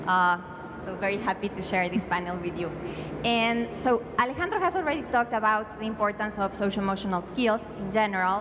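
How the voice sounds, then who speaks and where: In a Spanish accent, a woman talks at a fairly quick pace with a fairly high pitch and ordinary pitch variation. Background noise is noticeable. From Mexico. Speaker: education policy panelist. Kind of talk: conference panel presentation. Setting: conference panel. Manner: hesitant, many fillers.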